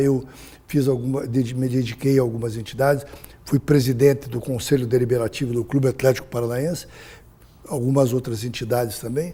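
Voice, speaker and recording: A man with a medium pitch, a dark, mellow tone and a somewhat breathy sound. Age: 70s. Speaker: businessman, former state finance secretary. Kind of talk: interview. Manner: halting.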